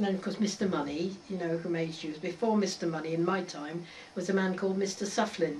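With an Oxfordshire accent, a woman at a medium pitch talks at a fairly quick pace amid noticeable background noise and audible room echo. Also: fairly even intonation. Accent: rural Oxfordshire English. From Oxfordshire, southern England. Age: 80s+. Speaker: local elder recalling village history. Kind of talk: oral history interview.

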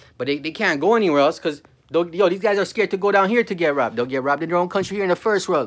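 Animated in tone, a man speaks at a very fast pace in a high pitch with lively intonation. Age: 40s. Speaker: vlogger. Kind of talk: casual rant to camera. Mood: angry, contemptuous ranting. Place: home room. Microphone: phone near.

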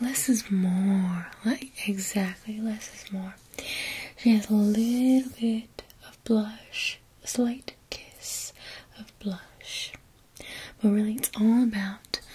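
Soft-spoken, a woman speaks at a very slow pace with fairly even intonation. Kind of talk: soft roleplay talk to viewer. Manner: soft close ASMR voice, southern accent. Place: home room.

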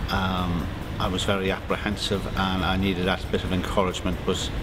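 Noticeable background noise sits under the speech. The delivery comes at a moderate pace. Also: man. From Ireland. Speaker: surveyor, adult swimming learner. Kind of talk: interview testimony. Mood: modest, pleased. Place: hall.

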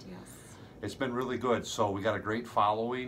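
A plain, everyday voice from a man, with fairly even intonation and a moderate pace, over light background noise. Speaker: fishing guide. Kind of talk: promotional chat to camera. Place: home room. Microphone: phone near.

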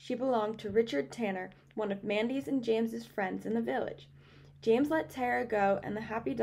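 Lively intonation in a natural reading voice

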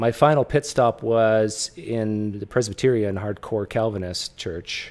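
A man talks in a plain, everyday voice, fairly low in pitch with fairly even intonation. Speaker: host interviewer. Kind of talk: casual personal story in an interview.

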